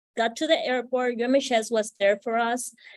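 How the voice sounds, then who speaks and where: A woman speaks with a Spanish accent. Her pitch is high. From Puerto Rico. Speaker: psychiatry resident. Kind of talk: panel discussion.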